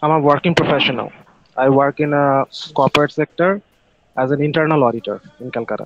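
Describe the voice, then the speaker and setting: In a Bengali accent, a man with a fairly high pitch and ordinary pitch variation talks at a very fast pace with long, frequent pauses, the sound dry with no echo but with noticeable background noise. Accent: Bengali Indian. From India, West Bengal (Kolkata). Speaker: internal auditor, participant in English practice call. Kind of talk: casual conversation practice. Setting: video call. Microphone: video call.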